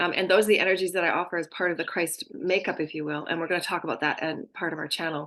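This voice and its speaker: The speaker is a woman. She talks at a very fast pace. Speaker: spiritual channeler and intuitive healer. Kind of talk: spiritual channeling talk. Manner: halting, with many fillers.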